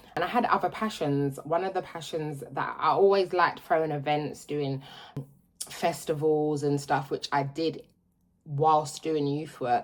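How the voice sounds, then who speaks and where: A woman with a London accent, a very deep, low pitch, fairly even intonation and a moderate pace. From London, South London. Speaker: vlogger. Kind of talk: casual vlog chat. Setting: at home, in utility room.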